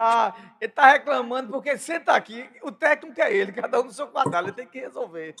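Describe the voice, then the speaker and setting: The man's voice sits at an extremely high pitch. His intonation is lively and his pace fairly quick. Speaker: podcast host. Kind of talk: casual chat. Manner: fast.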